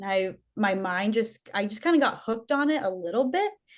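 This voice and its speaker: With a plain, everyday voice, a woman speaks at a fairly high pitch and a moderate pace with lively intonation. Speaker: menstrual equity researcher. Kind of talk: casual chat.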